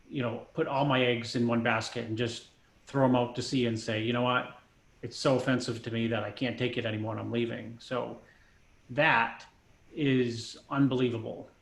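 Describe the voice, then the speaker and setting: A man speaks at a moderate pace and medium pitch in a flat monotone. The voice is somewhat breathy and the room echo is audible. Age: 50s. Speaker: bodybuilding coach. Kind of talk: casual chat.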